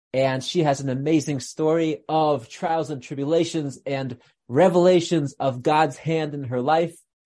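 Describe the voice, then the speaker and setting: This man talks at a fairly slow pace with hardly any pauses, his dark, mellow tone sitting fairly high in pitch and his intonation fairly even. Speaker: podcast host and rabbi. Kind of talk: casual interview. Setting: video call.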